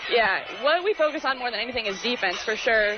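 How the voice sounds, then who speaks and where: Over music in the background, a woman speaks in a high pitch with ordinary pitch variation. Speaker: college basketball player. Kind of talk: post-game interview. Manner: casual, hesitant, with fillers.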